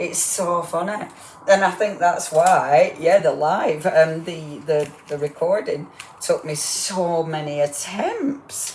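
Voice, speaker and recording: Over noticeable background noise, a woman with a fairly low voice speaks at a very slow pace. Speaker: crafting demonstrator. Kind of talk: live crafting demo. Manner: chatty, rambling.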